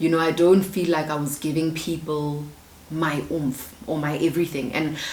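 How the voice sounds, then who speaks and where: In a South African accent, a woman speaks at a moderate pace with a very deep, low pitch and monotone, flat intonation, amid noticeable background noise and audible room echo. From South Africa, Soshanguve, Pretoria. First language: isiZulu. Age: 20s. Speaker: YouTuber. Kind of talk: casual Q&A vlog.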